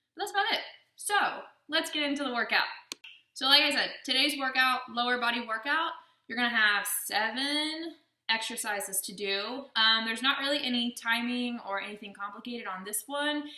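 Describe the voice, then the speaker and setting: Audible room echo surrounds a woman's high-pitched voice, which shows ordinary pitch variation. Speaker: fitness vlogger. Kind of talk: workout tutorial. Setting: voiceover. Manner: casual, filler-heavy.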